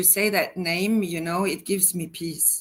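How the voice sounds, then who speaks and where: The very clean recording of a woman with a Norwegian accent has a silent background. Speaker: personal advisor, school founder. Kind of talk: interview. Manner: halting, many fillers.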